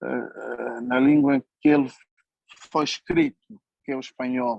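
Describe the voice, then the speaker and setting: A man at a fairly slow pace, in dry, close sound with no echo. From Angola, Uíge province. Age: 60s. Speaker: writer and journalist. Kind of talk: conference talk. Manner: hesitant, many fillers.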